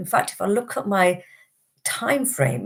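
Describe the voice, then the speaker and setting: A woman's somewhat breathy voice in a British accent, at a fairly slow pace. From Britain, Indian background. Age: 50s. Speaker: wellbeing teacher and healer. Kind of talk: live stream talk.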